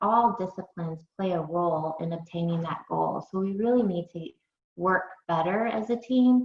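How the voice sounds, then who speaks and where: At a fairly slow pace, a woman talks in a plain, everyday voice, her medium pitch showing ordinary variation. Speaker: early intervention specialist. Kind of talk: webinar presentation.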